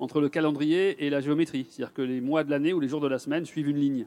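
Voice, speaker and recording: With an unremarkable speaking voice, a man talks at a fairly quick pace in a fairly high pitch with fairly even intonation. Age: 50s. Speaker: neurologist. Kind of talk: public talk. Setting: stage with audience.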